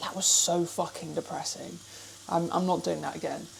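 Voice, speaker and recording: Moderate-paced speech from a woman with an English accent and a fairly low pitch, amid noticeable background noise. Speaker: fitness vlogger. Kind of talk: casual vlog. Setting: kitchen.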